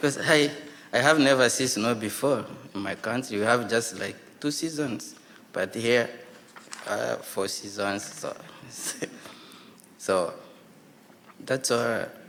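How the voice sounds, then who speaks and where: Over noticeable background noise, a man speaks very slowly at medium pitch with ordinary pitch variation and long, frequent pauses. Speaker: newcomer panelist. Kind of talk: panel discussion.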